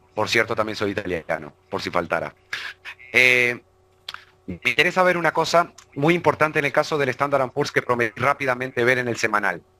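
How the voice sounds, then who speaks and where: Bright and sharp in tone, a man's medium-pitched voice moves at a fairly quick pace with lively intonation. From Uruguay. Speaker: financial market analyst. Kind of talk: online webinar presentation. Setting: live online broadcast.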